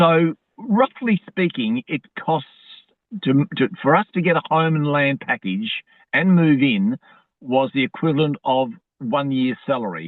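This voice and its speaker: Speaking with an Australian accent, a man has a fairly high pitch and lively intonation. His pace is fairly slow. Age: 70s. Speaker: academic. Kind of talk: casual chat.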